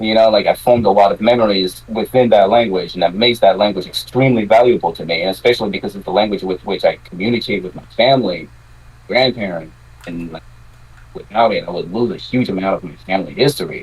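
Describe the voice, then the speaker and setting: A man talks at a very fast pace and a fairly low pitch, with ordinary pitch variation. His loudness swings widely. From Quebec. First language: French. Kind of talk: casual chat.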